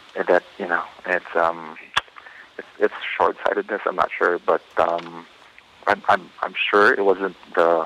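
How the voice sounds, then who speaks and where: Against noticeable background noise, a man speaks at a moderate pace with long, frequent pauses in a dry, close sound with no echo. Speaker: comic book artist. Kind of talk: interview answers. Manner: halting, hesitant with filler words.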